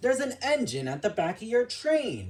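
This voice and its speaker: At a moderate pace, the speaker uses a put-on character voice with a fairly high pitch. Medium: read story. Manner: hearty.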